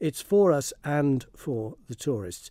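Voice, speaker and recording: A man with a Manx accent speaks in a dark, mellow tone, with a dry, close sound and no echo. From Isle of Man. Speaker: heritage campaigner and filmmaker. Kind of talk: radio phone-in interview.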